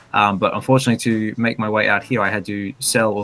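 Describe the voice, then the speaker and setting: Over music in the background, a man with an Australian accent speaks very fast in a fairly low pitch. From Western Australia (Albany). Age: 40s. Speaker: collector. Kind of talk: interview. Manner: halting, many fillers.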